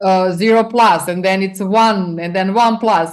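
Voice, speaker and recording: A woman with a non-native accent speaks at a moderate pace and a medium pitch. Her pitch varies in an ordinary way over a quiet background. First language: not English. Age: 40s. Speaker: business coach. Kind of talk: interview. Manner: animated.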